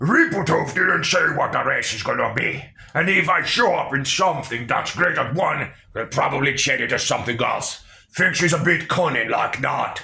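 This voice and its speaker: A put-on character voice by a man, pitched high and delivered at a moderate pace. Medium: read story. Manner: gruff, crude slang.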